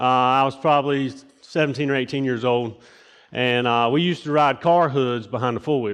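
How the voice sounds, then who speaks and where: With ordinary pitch variation and medium pitch, a man talks at a moderate pace over a quiet background. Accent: Southern US. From US South, rural eastern North Carolina. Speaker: lay preacher. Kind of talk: sermon. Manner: casual, halting with many fillers.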